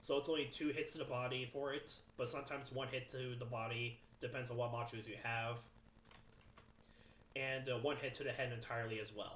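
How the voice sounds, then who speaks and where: In a room with audible echo, a man talks at a fairly quick pace with monotone, flat intonation. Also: medium pitch for a man. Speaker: gaming youtuber. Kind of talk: game weapon tier list commentary. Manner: fast; halting, many fillers.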